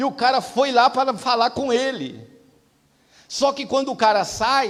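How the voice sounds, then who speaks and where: Speaking at a fairly slow pace, this man has an extremely high pitch and fairly even intonation. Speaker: preacher. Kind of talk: sermon.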